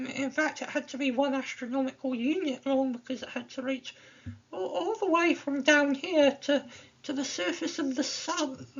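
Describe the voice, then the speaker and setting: Speech comes at a moderate pace. Pitch varies in an ordinary way. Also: woman, high pitch for a woman. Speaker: physics educator. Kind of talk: lecture. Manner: halting, many repeated words.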